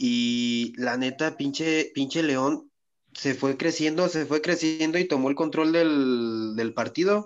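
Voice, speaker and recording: Speaking at a very slow pace, a man keeps a very even loudness at a fairly high pitch with ordinary pitch variation. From Mexico, Michoacán. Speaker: podcast co-host. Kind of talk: casual chat.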